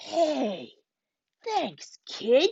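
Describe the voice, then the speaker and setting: A woman's put-on character voice, high-pitched, with very wide swings in pitch. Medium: read story.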